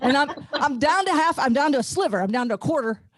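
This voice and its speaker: A woman talks at a fairly quick pace in an animated tone with lively intonation. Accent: slight Ozark. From Ozarks, US. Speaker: comedian. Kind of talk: stand-up. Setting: video call. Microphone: home garage studio.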